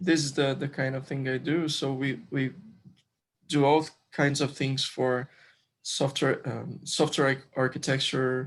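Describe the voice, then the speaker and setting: In a Brazilian accent, a man with a fairly high voice speaks at a fairly slow pace in a monotone, flat delivery, recorded very cleanly over a silent background. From Brazil, Rio de Janeiro. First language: Portuguese. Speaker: software developer and crypto community member. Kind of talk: interview. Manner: halting, many fillers.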